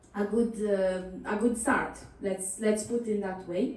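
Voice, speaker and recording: A woman with an Italian accent speaks very slowly at a fairly high pitch, her pitch varying in an ordinary way, with audible room echo. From Italy. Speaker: journalist. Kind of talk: panel discussion. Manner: hesitant, many fillers.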